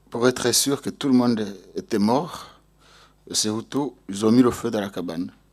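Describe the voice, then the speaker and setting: With a Rwandan accent, a man speaks at a medium pitch and a fairly slow pace, with ordinary pitch variation and long, frequent pauses. The recording is very clean, with a silent background. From Rwanda, Mugina commune. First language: Kinyarwanda (speaking French). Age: 40s. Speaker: genocide survivor. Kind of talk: testimony. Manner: halting, with repetitions.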